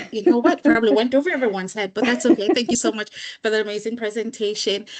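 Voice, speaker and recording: Noticeable background noise sits behind a woman speaking at a very fast pace. Her fairly high voice has lively intonation. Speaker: committee chair. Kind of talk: meeting discussion.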